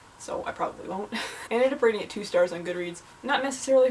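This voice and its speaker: Over noticeable background noise, a woman speaks at a very fast pace with ordinary pitch variation. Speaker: university student. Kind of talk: casual talk to camera.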